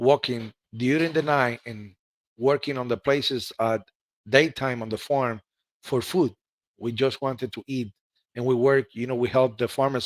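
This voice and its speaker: With a Spanish accent, a man speaks at a moderate pace in a medium pitch with fairly even intonation, the sound dry and close with no echo on a very clean recording with a silent background. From Cuba. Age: 40s. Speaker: ham radio operator. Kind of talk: interview. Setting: live stream.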